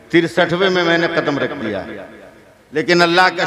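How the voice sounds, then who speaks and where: With noticeable background noise behind him, this man talks in a high voice. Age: 60s. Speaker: Islamic preacher. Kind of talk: sermon. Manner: animated.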